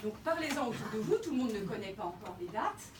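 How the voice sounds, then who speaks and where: With noticeable background noise and audible room echo, a woman's fairly high voice moves through very wide pitch swings. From France, grew up in Alsace and other provinces. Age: 50s. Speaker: local election candidate. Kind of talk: campaign speech at public meeting. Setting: café public meeting with audience. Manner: hesitant, many fillers.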